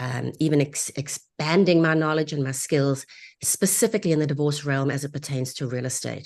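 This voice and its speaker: A woman with a South African accent and a very deep, low pitch, ordinary pitch variation, and a quiet background. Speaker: divorce real estate agent. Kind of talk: webinar interview. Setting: live online broadcast.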